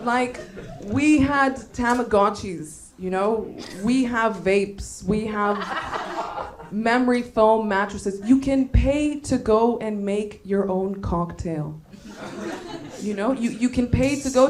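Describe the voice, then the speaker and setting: A woman talks at a very slow pace, her pitch fairly high with ordinary variation. Audible room echo and noticeable background noise fill the recording. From Bulgaria. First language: Bulgarian. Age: 20s. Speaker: stand-up comedian. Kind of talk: stand-up. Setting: stage with audience.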